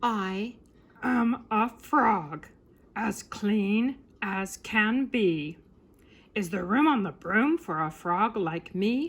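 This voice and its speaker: A woman uses a croaky, put-on character voice at medium pitch. She speaks at a very slow pace. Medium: read story. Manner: polite.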